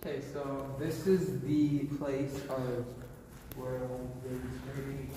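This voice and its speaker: Amid loud background noise and audible room echo, a man talks at a very slow pace. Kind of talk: casual vlog chat. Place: factory. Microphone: phone near.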